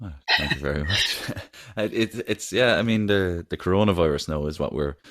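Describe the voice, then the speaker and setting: A man with an Irish accent speaks at a fairly quick pace in a very deep, low voice with ordinary pitch variation. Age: 20s. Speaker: podcast host. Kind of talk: podcast interview, casual chat.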